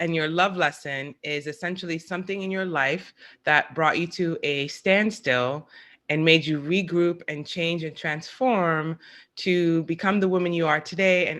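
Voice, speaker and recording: A woman's normal speaking voice, fairly low in pitch, with ordinary pitch variation. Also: very clean recording, silent background. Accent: American. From New York. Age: 40s. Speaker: podcast host. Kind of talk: scripted narration; casual chat.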